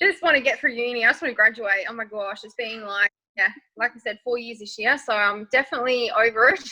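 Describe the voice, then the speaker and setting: A woman with an Australian accent talks very fast at a fairly high pitch. Her pitch varies in an ordinary way, and her loudness swings widely. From rural Western Australia. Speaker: makeup artist and nursing student. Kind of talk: interview. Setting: podcast recording.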